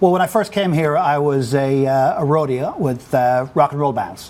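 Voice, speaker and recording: A man with an Irish accent is heard over noticeable background noise. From Ireland. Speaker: business executive. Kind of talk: interview. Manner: halting, many fillers.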